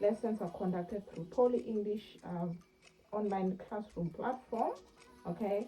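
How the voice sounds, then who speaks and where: Fairly slow speech with ordinary pitch variation over music in the background. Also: woman, medium pitch for a woman. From South Africa. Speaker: online English teacher and YouTuber. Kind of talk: casual tutorial. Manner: hesitant, many fillers.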